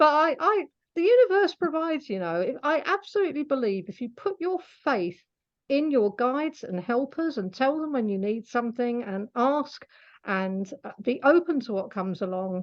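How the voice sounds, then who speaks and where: Speaking with a British accent, a woman uses a high pitch with very wide swings at a moderate pace. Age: 60s. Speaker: animal communicator. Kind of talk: interview. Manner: hesitant, with fillers.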